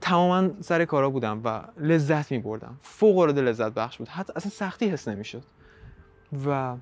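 The man has a fairly high pitch and lively intonation. He talks at a fairly quick pace. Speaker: podcast host. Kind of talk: solo podcast monologue.

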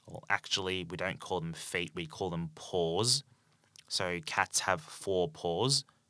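Speaking very slowly in an Australian accent, a man with a very deep, low pitch and a bright, sharp tone uses ordinary pitch variation, recorded very cleanly against a silent background with a dry, close sound and no echo. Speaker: English teacher. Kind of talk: language-learning podcast monologue. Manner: slow, clear and simple for learners; many filler ums.

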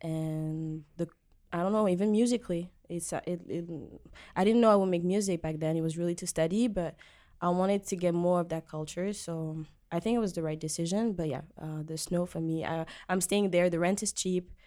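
A woman with a French accent talks at a fairly quick pace, using a fairly low pitch, a dark, mellow tone and fairly even intonation. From Djibouti, East Africa. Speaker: singer-songwriter. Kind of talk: casual interview. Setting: studio.

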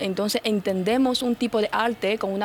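With a Chinese accent, a woman speaks at a moderate pace and with ordinary pitch variation. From China. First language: Chinese (speaking Spanish). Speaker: influencer. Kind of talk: radio interview.

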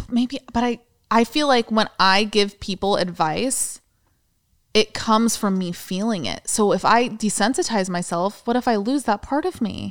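With ordinary pitch variation and a fairly high pitch, a woman talks at a moderate pace in a normal speaking voice. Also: dry, close sound with no echo. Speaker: podcast co-host. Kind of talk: casual chat.

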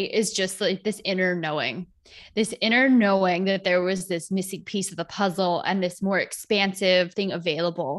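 A woman with a plain, everyday voice speaks at a medium pitch and a moderate pace. The recording is very clean, with a silent background. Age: 30s. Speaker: holistic healer and yoga teacher. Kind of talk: casual interview chat.

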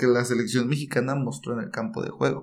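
The intonation stays fairly even. It is an unremarkable speaking voice. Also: man. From Mexico, Chiapas. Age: 20s. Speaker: podcast co-host, football commentator. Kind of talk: casual football chat.

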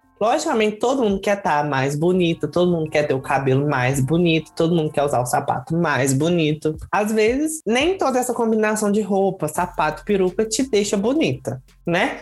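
The speaker keeps a moderate pace with hardly any pauses. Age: 20s. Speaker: drag queen, contest winner. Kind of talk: casual interview.

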